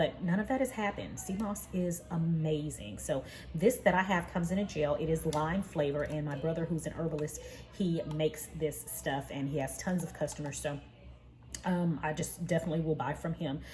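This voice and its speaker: Her pitch is very deep and low for a woman. She talks at a fairly quick pace with ordinary pitch variation. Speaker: vlogger. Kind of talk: casual vlog talk. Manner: soft-spoken.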